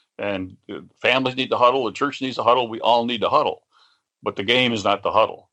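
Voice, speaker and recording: A man with an American accent, a bright, sharp tone and fairly even intonation, talking at a very fast pace against a quiet background. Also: medium pitch for a man. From West Virginia. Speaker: author and futurist. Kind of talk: interview conversation. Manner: repetitive, halting starts.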